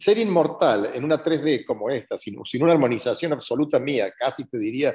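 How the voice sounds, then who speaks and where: A man speaks with a Cordoban Argentine accent. His fairly high voice has lively intonation. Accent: Argentine (Cordoba) Spanish. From Argentina, Córdoba. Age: 70s. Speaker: retired course graduate. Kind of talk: interview testimony. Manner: halting.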